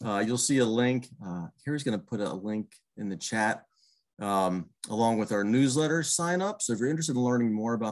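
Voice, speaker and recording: A man with an American accent uses an ordinary speaking voice at a medium pitch, talking at a moderate pace with lively intonation against a quiet background. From Pittsburgh, Pennsylvania. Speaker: master gardener coordinator; presenter. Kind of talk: online presentation. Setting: video call. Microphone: webcam.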